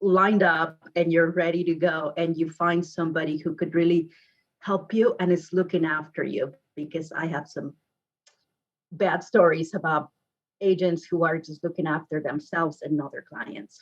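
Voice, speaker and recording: A woman with a Mexican accent speaks at a fairly low pitch. Her pace is moderate and her intonation fairly even. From Mexico, Guadalajara. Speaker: real estate agent. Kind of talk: podcast interview.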